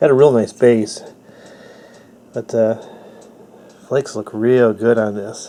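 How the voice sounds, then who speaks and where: A man's dark, mellow tone at a fairly slow pace. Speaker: flintknapper. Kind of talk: casual talk to camera.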